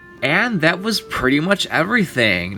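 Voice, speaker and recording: Noticeable background noise accompanies a man who talks at a moderate speed. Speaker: toy collector YouTuber. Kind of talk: unboxing commentary. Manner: casual, rambling with fillers.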